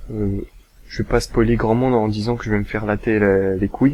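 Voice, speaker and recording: The speaker is a man with a medium pitch. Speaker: gaming youtuber. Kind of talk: gameplay commentary. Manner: hesitant, many fillers.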